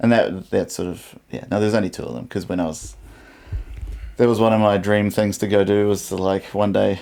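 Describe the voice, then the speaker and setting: The speaker has a dark, mellow tone and a New Zealand accent and talks at a fairly quick pace. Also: man, fairly low pitch for a man. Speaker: podcast co-host. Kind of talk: casual chat. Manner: halting.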